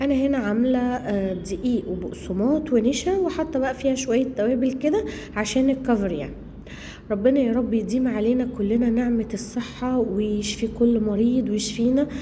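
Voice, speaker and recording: Someone talks at a moderate pace with an Egyptian accent and ordinary pitch variation. Audible room echo and noticeable background noise are present. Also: woman, high pitch for a woman. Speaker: cooking vlogger, homemaker. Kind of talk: cooking vlog narration. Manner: casual, halting with fillers.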